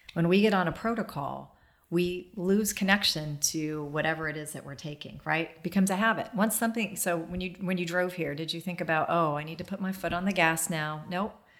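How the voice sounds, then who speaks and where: A woman with an American accent speaks at a fairly quick pace with hardly any pauses. Her pitch is fairly low, with ordinary variation. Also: big swings in loudness. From US Midwest (Dayton, Ohio). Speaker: holistic healer and business owner. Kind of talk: casual interview. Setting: at a home, garden.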